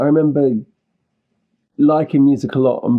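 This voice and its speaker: Here is a man in a London accent. His intonation stays fairly even. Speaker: indie musician. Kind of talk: interview conversation.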